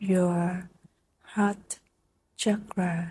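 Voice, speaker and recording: This woman's tone is gentle, soothing, dark and mellow, and somewhat breathy. Her intonation is monotone and flat. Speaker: meditation teacher. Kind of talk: guided meditation. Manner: slow, gentle instructions with long pauses; soothing, soft-spoken.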